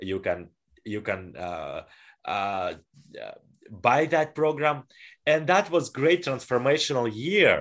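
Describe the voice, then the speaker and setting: A Russian accent with vocal fry, a very slow pace, very wide pitch swings and long, frequent pauses, over a quiet background. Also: man, fairly high pitch for a man. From northwestern Russia. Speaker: personal development coach and speaker. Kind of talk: interview. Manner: halting.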